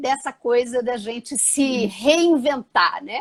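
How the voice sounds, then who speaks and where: A dry, close, echo-free sound carrying ordinary pitch variation. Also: woman. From Brazil, Ceará (Maranguape). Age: 60s. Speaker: travel blogger, retired nurse and dentist. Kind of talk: live stream chat. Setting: online live stream.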